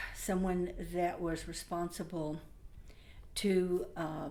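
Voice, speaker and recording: Speaking with an American accent, a woman has a fairly low pitch, and audible room echo fills the recording. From Oklahoma, US. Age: 60s. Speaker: community advisory committee member. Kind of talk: personal testimony. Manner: halting, many fillers.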